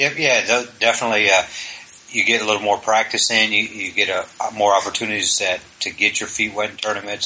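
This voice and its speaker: A man's fairly low voice at a fairly quick pace, over noticeable background noise. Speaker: podcast host. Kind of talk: casual chat.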